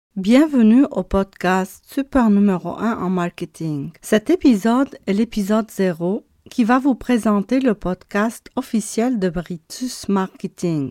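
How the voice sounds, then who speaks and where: The woman's tone is dark and mellow, with lively intonation and hardly any pauses at a very slow pace. The recording is very clean and dry, close with no echo, over a silent background. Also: medium pitch for a woman. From abroad, left her country for Canada. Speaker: marketing agency owner. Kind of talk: podcast monologue. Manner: halting.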